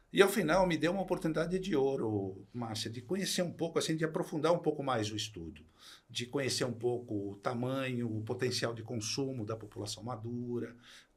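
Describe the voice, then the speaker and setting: A somewhat breathy man at medium pitch, with lively intonation and a fairly quick pace. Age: 60s. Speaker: retired executive turned entrepreneur. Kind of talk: podcast interview.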